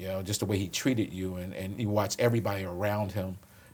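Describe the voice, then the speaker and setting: In a Philadelphia accent, a man talks at a very fast pace with a fairly low pitch and ordinary pitch variation. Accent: Philadelphia American. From Philadelphia, US. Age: 60s. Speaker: police commissioner. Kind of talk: interview conversation.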